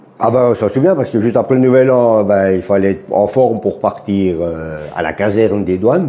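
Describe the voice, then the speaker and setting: A man with a Jura accent speaks at a moderate pace with hardly any pauses, in a fairly low pitch with ordinary pitch variation. Noticeable background noise can be heard. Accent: Swiss French (Jura). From Switzerland, Jura. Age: 60s. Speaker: retired border guard. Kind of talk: interview.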